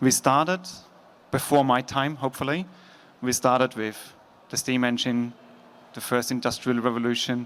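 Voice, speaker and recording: Long, frequent pauses break up a man's speech, which has fairly even intonation. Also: medium pitch for a man, moderate pace. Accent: Austrian. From Austria. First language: German. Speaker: logistics executive. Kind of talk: conference talk. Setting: stage with audience. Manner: casual.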